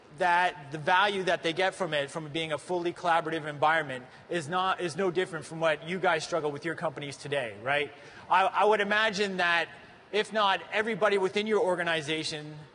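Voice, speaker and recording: Over noticeable background noise, a man with a Canadian accent talks at a fairly quick pace in a high pitch with ordinary variation. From Canada. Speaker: tech conference presenter. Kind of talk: conference presentation.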